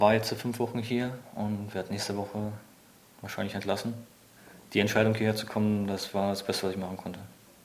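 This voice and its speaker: A man with a fairly low pitch and monotone, flat intonation, talking at a very fast pace with long, frequent pauses, audible room echo around him. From Germany, near Berlin. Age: 20s. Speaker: soldier, reconnaissance scout. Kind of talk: testimony.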